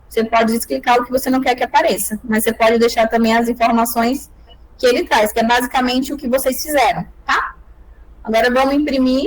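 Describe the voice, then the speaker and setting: Her high voice stays fairly level in tone as the woman talks rather quickly. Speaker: lawyer teaching calculation software. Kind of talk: online tutorial.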